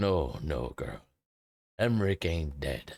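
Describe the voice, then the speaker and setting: A man's put-on character voice, raspy and very deep in pitch, with lively intonation, a fairly slow pace, and a very clean recording over a silent background. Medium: virtual streamer. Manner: folksy, warm.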